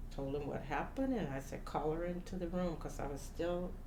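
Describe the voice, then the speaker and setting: With an American accent, a woman's pitch swings very widely amid noticeable background noise and audible room echo. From US South, Louisiana. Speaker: community member, elected school official. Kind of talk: interview testimony. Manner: halting.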